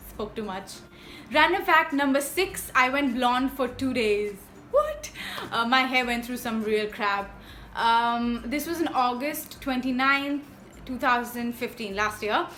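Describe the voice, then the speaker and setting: Audible room echo colors a woman's high-pitched voice, which has a bright, sharp tone. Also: ordinary pitch variation, fairly slow pace. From India. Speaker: YouTuber. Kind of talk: casual vlog monologue.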